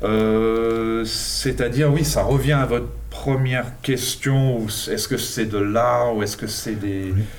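A man's medium-pitched, very slow speech with fairly even intonation, audible room echo and noticeable background noise. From English and Argentine parentage, born in England. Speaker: street artist and art teacher. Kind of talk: interview. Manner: halting, many hesitations.

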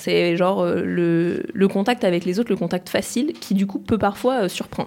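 A woman's dark, mellow voice carries vocal fry and ordinary pitch variation. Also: medium pitch for a woman, moderate pace. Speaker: former student. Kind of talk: casual chat.

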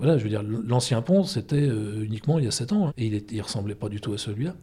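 Somewhat breathy, a man speaks in a dark, mellow tone at a fairly low pitch and a moderate pace. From Brittany, Brest. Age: 50s. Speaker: photographer and gallery owner. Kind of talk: interview. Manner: hesitant, with fillers.

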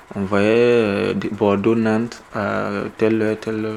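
A man talks at a fairly slow pace in a fairly low pitch, his intonation flat and monotone. Noticeable background noise sits behind him. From Burkina Faso. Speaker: young exiled migrant. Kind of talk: personal testimony in documentary. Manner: halting, with repetitions.

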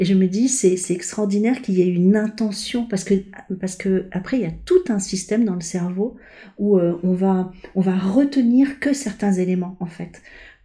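Somewhat breathy and dark and mellow in tone, a woman talks at a moderate pace and medium pitch, with ordinary pitch variation. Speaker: coach and painter. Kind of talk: interview conversation. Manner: halting, frequent repetitions and fillers.

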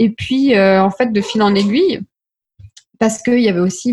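This woman's somewhat breathy voice sits at a medium pitch and shows ordinary pitch variation. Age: 20s. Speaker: life coach. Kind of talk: interview.

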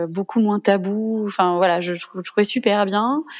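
A woman with a gentle tone speaks at a fairly slow pace, her medium pitch carried on fairly even intonation. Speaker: mother sharing breastfeeding story. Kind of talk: testimony. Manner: gentle, spontaneous.

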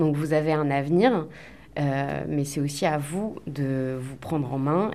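At a fairly slow pace, a woman talks in a very deep, low pitch with fairly even intonation. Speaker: school staff member. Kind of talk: interview answer, considered. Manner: measured, formal.

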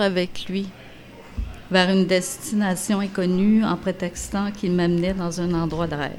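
A woman's normal speaking voice at a medium pitch, with fairly even intonation and a fairly slow pace. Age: 60s. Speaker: narrator. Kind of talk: reading aloud.

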